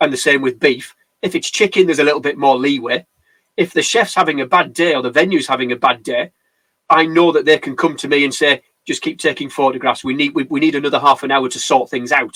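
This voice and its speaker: The recording is dry and close, with no echo. A man with a bright, sharp tone and fairly high pitch speaks at a very fast pace. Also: ordinary pitch variation. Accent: English. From England. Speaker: wedding photographer. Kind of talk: casual chat. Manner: animated.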